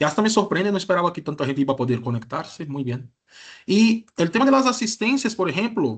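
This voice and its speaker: Against a quiet background, a man with a Brazilian accent speaks with very wide pitch swings. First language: Portuguese (speaking Spanish). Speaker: university lecturer. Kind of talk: lecture. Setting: online class.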